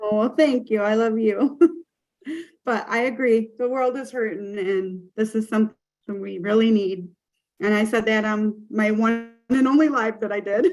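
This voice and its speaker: A woman with a plain, everyday voice talks at a medium speed, her pitch varying in an ordinary way. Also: fairly high pitch for a woman. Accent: American. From US Midwest, Michigan. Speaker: webinar host. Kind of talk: casual chat.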